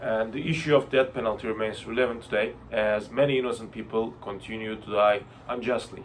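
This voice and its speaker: Moderately paced, a man with a Turkish accent speaks at a medium pitch with fairly even intonation. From Turkey. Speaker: university student. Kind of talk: class presentation discussion. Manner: hesitant.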